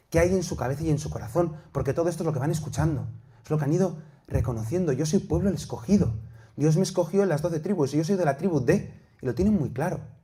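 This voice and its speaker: A man talks at a very fast pace with a fairly high pitch, a dark, mellow tone and ordinary pitch variation. Audible room echo surrounds his voice. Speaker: priest and theology teacher. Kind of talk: lecture.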